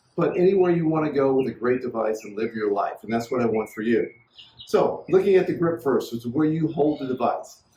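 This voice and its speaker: A man's fairly high, somewhat breathy voice with a dark, mellow tone, lively intonation and a fairly quick pace. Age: 60s. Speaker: inventor demonstrating his product. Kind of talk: product demonstration tutorial. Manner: enthusiastic, salesy.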